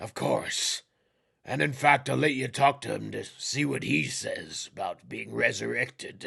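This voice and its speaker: A man puts on a raspy character voice. He keeps to a moderate pace. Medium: actual play.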